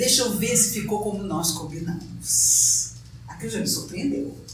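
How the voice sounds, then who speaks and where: At a moderate pace, a woman's pitch swings very widely amid audible room echo and noticeable background noise. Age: 60s. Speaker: spiritist lecturer. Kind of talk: lecture.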